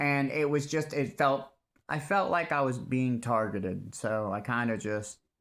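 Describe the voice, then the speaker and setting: Loud and bright with a sharp tone, a man speaks with ordinary pitch variation. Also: very clean recording, silent background. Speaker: vlogger telling personal story. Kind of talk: personal testimony monologue. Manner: halting.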